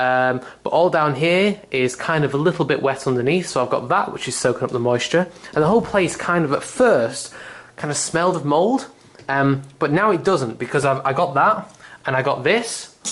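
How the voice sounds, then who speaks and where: With a British accent, a man speaks at a fairly high pitch with lively intonation. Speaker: vlogger. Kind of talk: casual video tour. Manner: fast.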